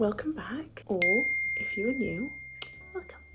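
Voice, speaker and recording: A woman speaks over noticeable background noise. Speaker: beauty vlogger. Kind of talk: makeup tutorial vlog. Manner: casual, chatty.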